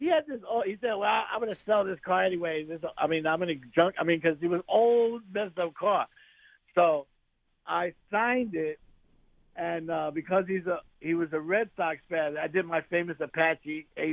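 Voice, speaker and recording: A man with a New York accent speaks at a moderate pace in a high voice, his pitch varying in an ordinary way. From New York City (Bronx). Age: 60s. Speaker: actor. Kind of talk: interview. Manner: animated.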